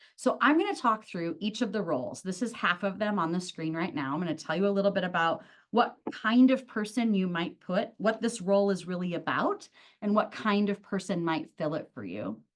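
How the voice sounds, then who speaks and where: A woman's ordinary speaking voice, medium in pitch, with lively intonation and a fairly quick pace over a quiet background. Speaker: workshop presenter. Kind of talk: webinar presentation. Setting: video call.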